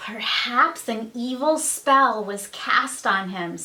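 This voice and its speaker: A woman speaks in a put-on character voice, pitched fairly high. Her pace is very slow. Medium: read story. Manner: anxious, shrill.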